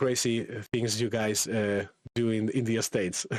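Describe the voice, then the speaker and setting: A man speaks in a Spanish accent at a fairly slow pace. His intonation stays fairly even. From Spain. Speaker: AI content creator and workshop instructor. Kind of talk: live online workshop. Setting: live stream. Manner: halting, many repetitions.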